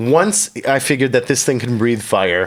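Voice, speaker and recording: The speaker is a man. He has a Chicago accent. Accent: American, Chicago area. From US Midwest, Chicago suburbs. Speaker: comedian and comedy show host. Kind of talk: casual interview chat. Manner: animated.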